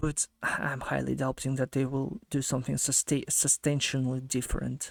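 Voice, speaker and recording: Speaking in a monotone, flat way, a man with a non-native accent keeps a medium pitch. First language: not English. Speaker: gaming streamer reacting to video. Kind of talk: casual reaction commentary. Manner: halting, many fillers and restarts.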